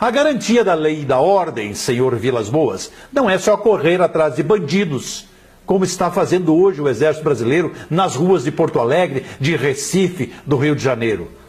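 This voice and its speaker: Noticeable background noise runs under this recording of a man. He speaks at a moderate pace with a fairly high pitch. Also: lively intonation, very even loudness. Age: 60s. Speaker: journalist and blogger. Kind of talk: political commentary monologue. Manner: forceful.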